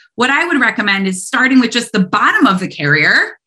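Very wide pitch swings run through a voice marked by vocal fry. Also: woman. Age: 30s. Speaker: veterinary technician and cat behavior specialist. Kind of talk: interview.

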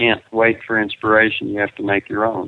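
A man speaks at a medium pitch in a West Texas accent. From Texas panhandle, Perryton. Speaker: children's author and rancher. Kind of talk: interview. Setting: remote call with students present.

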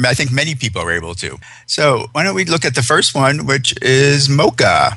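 Against noticeable background noise, a man talks fairly quickly with lively intonation at a fairly high pitch. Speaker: radio host. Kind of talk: interview about pet fashion.

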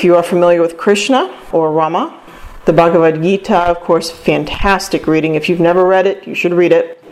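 At a moderate pace, the speaker talks over noticeable background noise. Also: woman. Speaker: radio host and presenter. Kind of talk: lecture-style presentation on a podcast.

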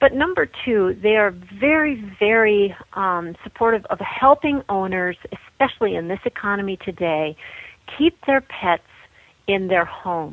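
With a plain, everyday voice, a woman at a medium pitch uses lively intonation while speaking at a fairly slow pace. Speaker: author and journalist. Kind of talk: casual interview chat. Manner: conversational.

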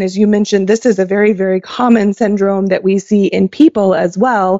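An ordinary speaking voice, this woman with an American accent talks at a medium pitch and a fairly quick pace, with fairly even intonation and hardly any pauses. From Oklahoma. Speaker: veterinary ophthalmologist. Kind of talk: interview.

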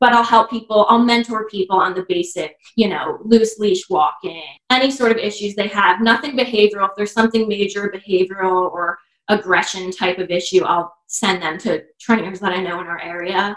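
The woman's medium-pitched voice shifts in an ordinary way as she talks fairly quickly. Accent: New Jersey. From New Jersey. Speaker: dog walker and pet portrait artist. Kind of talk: casual chat.

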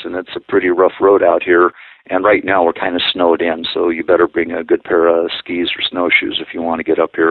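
Here a man speaks with an American accent. His pace is fairly quick. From northern Idaho and Colorado, US. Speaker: wolf sanctuary director. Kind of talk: interview.

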